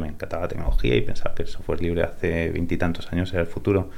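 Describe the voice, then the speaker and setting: A man at a very fast pace, fairly even in intonation, with audible room echo. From Spain (born in California, raised in Spain from age 8). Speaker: tech startup co-founder. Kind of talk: interview. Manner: repeats words, hesitant.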